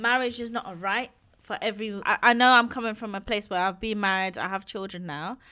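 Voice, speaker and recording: Her tone bright and sharp, a woman speaks at a moderate pace with a fairly high pitch. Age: 30s. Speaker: podcast co-host. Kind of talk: casual chat.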